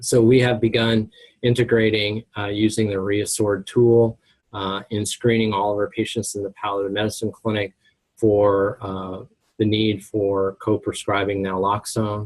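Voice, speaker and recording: A man talks in a fairly low voice. His intonation stays flat and monotone. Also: moderate pace. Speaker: pharmacy professor presenting a webinar. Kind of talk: lecture. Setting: webinar.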